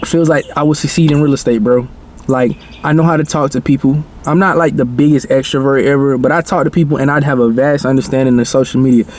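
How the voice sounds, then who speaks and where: A man at a fairly high pitch and fairly quick pace, with fairly even intonation, very even loudness and noticeable background noise. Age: 20s. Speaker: content creator and new real estate agent. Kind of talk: casual vlog talking to camera. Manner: conversational, filler-heavy.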